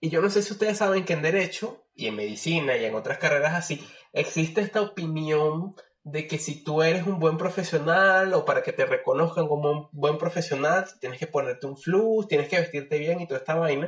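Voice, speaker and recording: A fairly quick delivery and ordinary pitch variation. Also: man, high pitch for a man. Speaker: biologist, doctoral candidate. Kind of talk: casual chat.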